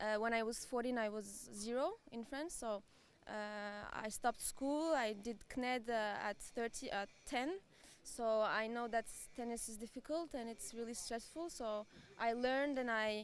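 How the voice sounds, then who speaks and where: With a Turkish accent, a woman talks at a moderate pace in a fairly high pitch with ordinary pitch variation. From Turkey. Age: 20s. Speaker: amateur tennis player. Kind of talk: interview. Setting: arena. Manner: halting.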